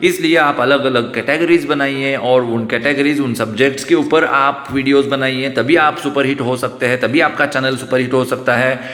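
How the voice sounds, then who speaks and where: A man at a medium pitch and moderate pace, with fairly even intonation, hardly any pauses and noticeable background noise. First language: Marathi (speaking Hindi). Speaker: YouTuber. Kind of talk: vlog monologue. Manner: hesitant, with fillers.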